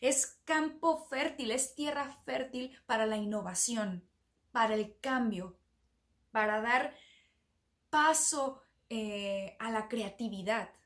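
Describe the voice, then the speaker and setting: Very slow and full of long, frequent pauses, a woman's voice sits at a fairly high pitch. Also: ordinary pitch variation. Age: 30s. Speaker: podcast host, self-development coach. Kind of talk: motivational monologue.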